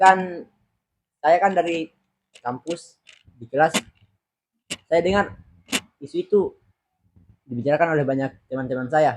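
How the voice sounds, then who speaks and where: Pitched fairly high, a man speaks at a fairly slow pace with ordinary pitch variation, big swings in loudness, and long, frequent pauses. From Selayar, South Sulawesi, Indonesia. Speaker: university student. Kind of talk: casual interview.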